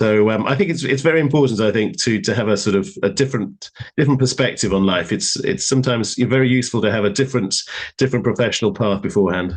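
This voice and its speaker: Talking very fast with a British accent, a man holds a medium pitch, lively intonation and very even loudness. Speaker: lawyer. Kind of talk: live panel interview.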